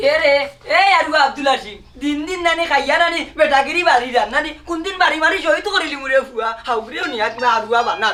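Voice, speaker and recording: In a put-on character voice, the speaker sounds gruff and high-pitched, keeping a moderate pace. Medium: comedy sketch. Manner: gruff, irritable.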